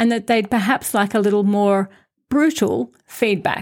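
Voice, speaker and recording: A woman speaks in a normal speaking voice at medium pitch and a moderate pace, on a very clean recording with a silent background. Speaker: podcast host and Toastmasters member. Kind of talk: scripted podcast monologue about public speaking.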